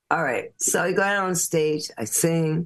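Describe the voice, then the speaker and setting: Fairly low-pitched female speech, moderate in pace and ordinary in pitch variation. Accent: New York. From New York (Bronx, Brooklyn, Long Island). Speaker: singer-songwriter. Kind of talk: casual interview storytelling. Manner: animated.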